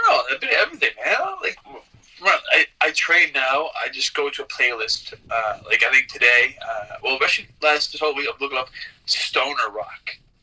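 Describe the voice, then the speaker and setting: Noticeable noise runs behind a man speaking at a moderate pace. He has a Newfoundland accent. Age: 30s. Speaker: pro wrestler. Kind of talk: interview. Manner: halting.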